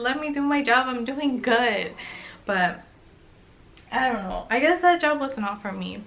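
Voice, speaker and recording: A soft-spoken woman talks in a high voice. Noticeable background noise runs behind her. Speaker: lifestyle vlogger. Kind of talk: casual chat.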